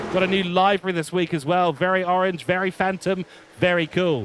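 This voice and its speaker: Over noticeable background noise, a man with a British accent talks at a fairly quick pace and high pitch. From England. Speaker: motorsport commentator. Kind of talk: live commentary. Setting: commentary box. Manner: animated.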